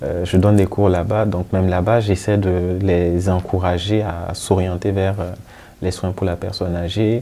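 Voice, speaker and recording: A man talks at a very deep, low pitch. His intonation is monotone and flat, and his pace is fairly slow. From Burkina Faso. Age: young. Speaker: geriatric physician. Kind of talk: interview. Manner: halting, with fillers and repetitions.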